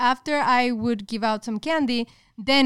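A woman with a Spanish accent talks at a moderate pace. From northern Mexico, Monterrey. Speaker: podcast co-host and YouTuber. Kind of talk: casual chat.

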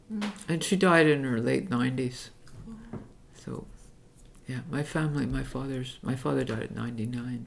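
A woman speaks fairly slowly in a very deep, low voice with vocal fry and lively intonation. Audible room echo surrounds her. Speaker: activist and retired teacher. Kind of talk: oral history interview. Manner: halting, with many fillers and repetitions.

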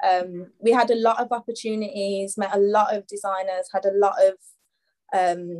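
In a Birmingham accent, the speaker goes at a moderate pace with ordinary pitch variation. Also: woman. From Birmingham, England. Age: 20s. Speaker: fashion stylist and upcycling brand owner. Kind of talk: podcast interview.

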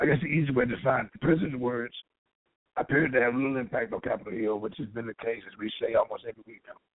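Very fast male speech with big swings in loudness and ordinary pitch variation. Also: medium pitch for a man. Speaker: political commentator. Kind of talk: news commentary.

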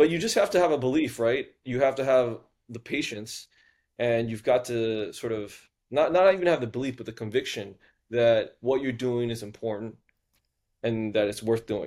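On a very clean recording with a silent background, a man with an American accent speaks in an unremarkable speaking voice at medium pitch, with ordinary pitch variation and a moderate pace. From US South (Houston, Texas). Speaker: venture capitalist. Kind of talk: interview conversation.

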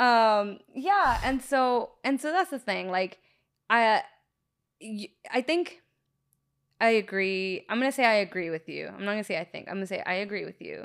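A woman with an American accent and fairly high pitch talks at a moderate pace with lively intonation, big swings in loudness and long, frequent pauses, captured on a very clean recording with a silent background. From Los Angeles, US. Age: 30s. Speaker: podcaster. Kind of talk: casual chat. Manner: animated.

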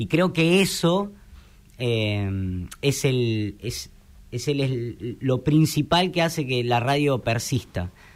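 On a very clean recording with a silent background, a man speaks very slowly at a medium pitch with lively intonation. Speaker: radio broadcaster. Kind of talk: interview.

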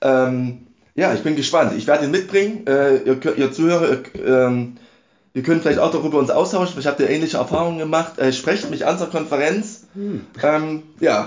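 With ordinary pitch variation and a fairly high pitch, this man talks in an ordinary speaking voice. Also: moderate pace. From Saxony, Dresden. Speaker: podcast host, church lay delegate. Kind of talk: casual chat.

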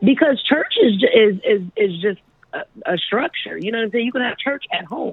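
Lively intonation and an animated tone from a woman at a fairly high pitch and moderate pace. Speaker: podcast co-host calling in. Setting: phone call from a trip, other women nearby. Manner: loud, animated.

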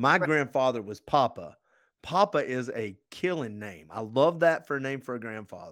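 On a very clean recording with a silent background, a man with a plain, everyday voice speaks at a moderate pace and medium pitch, his intonation lively and his loudness swinging widely. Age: 50s. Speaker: podcast host. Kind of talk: casual chat.

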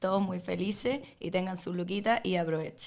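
A woman speaks in a Chilean accent at a medium pitch. Her pace is fairly slow and her intonation fairly even. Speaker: podcast guest. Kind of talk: casual chat.

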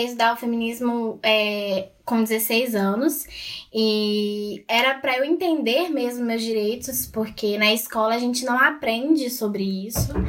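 Her pitch fairly high and varying in an ordinary way, a woman with an ordinary speaking voice speaks at a fairly slow pace. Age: 20s. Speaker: student and feminist activist. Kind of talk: casual chat.

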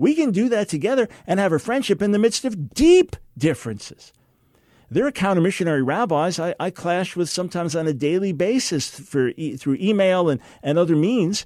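Speaking at a fairly quick pace, a man uses lively intonation and a high pitch. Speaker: radio host and theologian. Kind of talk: call-in radio talk show. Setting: studio. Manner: passionate, forceful.

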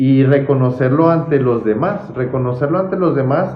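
A man's somewhat breathy voice carries audible room echo. His pitch varies in an ordinary way. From Mexico, Chihuahua (Santa Bárbara). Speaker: podcast host. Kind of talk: casual interview. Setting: office visit.

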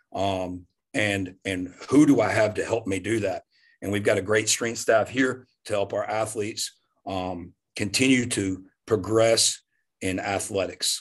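A man with a Southern US accent, fairly low in pitch, fairly slow and fairly even in intonation, against a quiet background. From US South, Louisiana. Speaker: strength coach. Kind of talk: casual chat.

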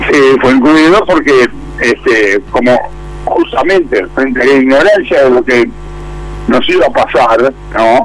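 Noticeable background noise sits behind this man's voice. He speaks at a fairly slow pace with very even loudness. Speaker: businessman, former industry chamber president. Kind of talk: radio interview. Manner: halting.

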